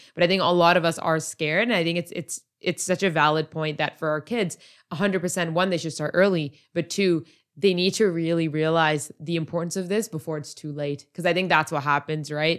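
In an ordinary speaking voice, a woman talks at a fairly quick pace with fairly even intonation, recorded very cleanly against a silent background. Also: fairly low pitch for a woman. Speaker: podcast host; project manager. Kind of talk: casual interview.

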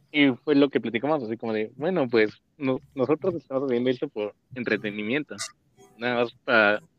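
A man talks in a medium pitch with ordinary pitch variation. He has a plain, everyday voice. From Mexico, Mexico City. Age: 20s. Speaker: podcast co-host. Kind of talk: casual chat.

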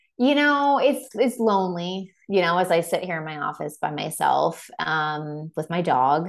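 A woman's fairly low voice at a fairly slow pace, with very wide pitch swings and hardly any pauses. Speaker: entrepreneur and marketing coach. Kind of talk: interview conversation.

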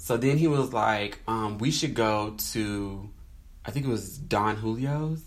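A man with an American accent speaks at a very slow pace, using a medium pitch with ordinary pitch variation. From North Carolina. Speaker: podcast co-host. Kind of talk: casual chat.

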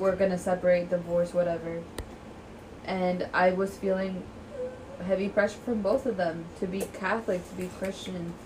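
A woman's medium-pitched voice at a moderate pace, with noticeable background noise. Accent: American. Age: 20s. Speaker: podcast co-host. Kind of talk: casual chat.

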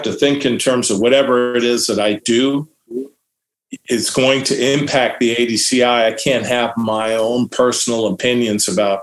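A man speaks with an American accent in a medium pitch, with ordinary pitch variation. He has an unremarkable speaking voice. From US West Coast (Santa Barbara, California). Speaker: diving industry association executive director. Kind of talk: interview.

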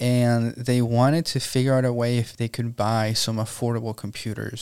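In a very clean recording with a silent background, a man with a Spanish accent speaks at a moderate pace and a medium pitch. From Venezuela. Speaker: entrepreneur. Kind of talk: interview.

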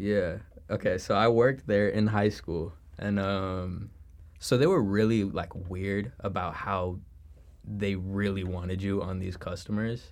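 A man talks fairly slowly in a Chicago accent, keeping his intonation fairly even. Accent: Chicago-area American. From Chicago suburbs, US Midwest. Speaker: college student. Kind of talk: casual chat.

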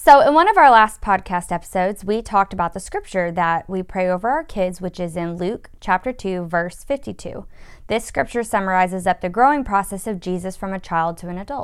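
A woman talks in an ordinary speaking voice at a medium pitch with ordinary pitch variation and big swings in loudness. Her pace is fairly quick with hardly any pauses, on a very clean recording with a silent background. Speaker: podcast co-host, mother. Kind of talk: devotional podcast chat, reading aloud.

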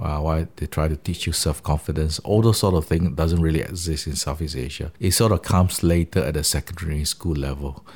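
Using vocal fry and a very deep, low pitch, a man speaks at a fairly quick pace with fairly even intonation. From Malaysia, Sarawak (Kuching). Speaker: professor. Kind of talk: interview. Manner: frequent hesitations (uh).

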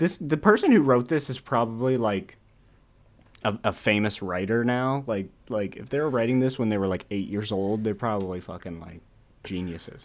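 A man's ordinary speaking voice at medium pitch, moderate pace, ordinary pitch variation and big swings in loudness. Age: 20s. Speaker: podcast co-host. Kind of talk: casual chat.

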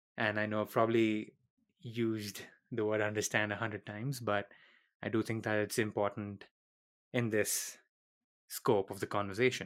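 Pitched fairly low, a man speaks in a monotone, flat way at a moderate pace with long, frequent pauses, on a very clean recording with a silent background. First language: not English. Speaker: podcast host. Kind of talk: solo podcast monologue.

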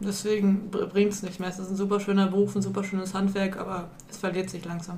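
Very fast and monotone, a woman speaks with flat intonation at a medium pitch. There is audible room echo. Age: 20s. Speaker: volunteer at youth centre. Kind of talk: casual chat.

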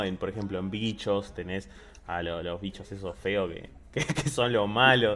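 Using a normal speaking voice, a man talks at a fairly slow pace with a fairly low pitch and ordinary pitch variation. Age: 20s. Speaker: podcast co-host. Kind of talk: casual chat.

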